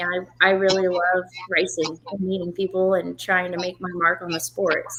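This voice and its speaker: The speaker is a woman with an American accent. Her voice sits at a medium pitch, with fairly even intonation. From Oklahoma, Tulsa. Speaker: drag racer. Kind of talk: interview. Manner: soft-spoken.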